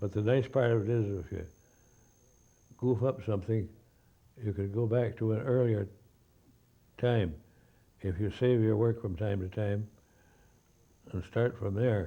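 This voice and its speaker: Somewhat breathy and with a dark, mellow tone, the voice has an American accent and fairly even intonation, moving at a fairly slow pace with long, frequent pauses. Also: man. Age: 80s+. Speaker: author and illustrator. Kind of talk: interview answer.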